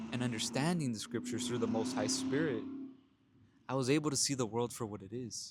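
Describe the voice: Ordinary pitch variation from a man at medium pitch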